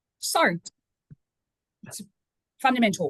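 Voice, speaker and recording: A woman with an Australian accent speaks at a moderate pace, somewhat breathy, with ordinary pitch variation. The sound is dry and close, with no echo. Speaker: cemetery trust general manager. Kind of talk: webinar presentation.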